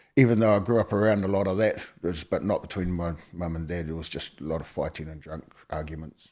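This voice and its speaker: A man with a New Zealand accent and very deep, low pitch speaks at a very fast pace with hardly any pauses. Pitch variation is ordinary, loudness swings widely, and the recording is very clean with a silent background. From New Zealand, Napier, Hawke's Bay. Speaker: former gang member. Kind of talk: interview testimony. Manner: halting.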